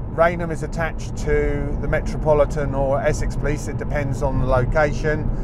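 Against loud background noise, a man talks at a fairly quick pace, the sound dry with no echo. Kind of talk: commentary. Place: car.

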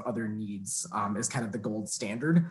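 A man with an American accent speaks somewhat breathily at a fairly slow pace, using ordinary pitch variation. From US suburb. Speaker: college teacher. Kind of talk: public comment. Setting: video call. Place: home room. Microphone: video call.

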